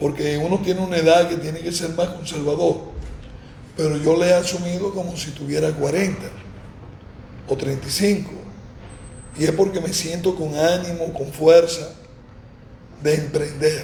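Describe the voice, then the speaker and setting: A man talks at a high pitch with monotone, flat intonation, at a moderate pace with long, frequent pauses. Audible room echo and noticeable background noise fill the recording. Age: 60s. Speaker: former mayor. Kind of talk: interview.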